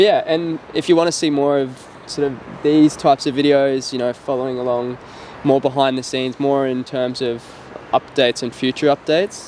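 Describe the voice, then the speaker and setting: Over noticeable background noise, a man talks at a fairly quick pace in a fairly high pitch with fairly even intonation. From Australia. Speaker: startup co-founder. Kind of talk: casual chat. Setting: outdoors.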